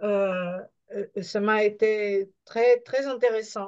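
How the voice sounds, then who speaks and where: Intonation remains fairly even. The pace is very slow. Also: woman. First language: not French (speaking French). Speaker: webinar participant. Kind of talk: question from audience. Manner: halting.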